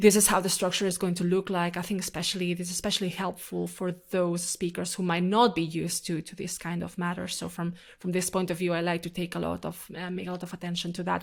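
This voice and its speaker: Over a silent background on a very clean recording, a woman talks fairly quickly in a fairly low pitch with vocal fry and monotone, flat intonation. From Catalonia, Spain (Barcelona). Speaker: climate and energy journalist, event moderator. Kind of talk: interview. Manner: fast; hesitant, with many repetitions and fillers.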